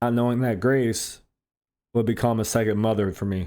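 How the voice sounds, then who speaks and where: A man mumbles in a dark, mellow tone at a fairly low pitch. The recording is very clean with a silent background. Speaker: pizza shop worker. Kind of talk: heartfelt personal monologue.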